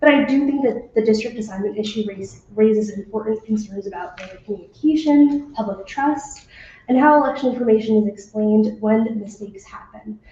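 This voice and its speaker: Over noticeable background noise, a woman talks at a fairly quick pace with hardly any pauses, her fairly high pitch showing ordinary variation. Her loudness swings widely. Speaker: intern, public commenter. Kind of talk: public testimony read from notes. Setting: public committee hearing. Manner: reading verbatim.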